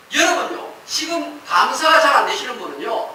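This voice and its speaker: A man's raised, projected voice amid noticeable background noise and audible room echo. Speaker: pastor. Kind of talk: sermon.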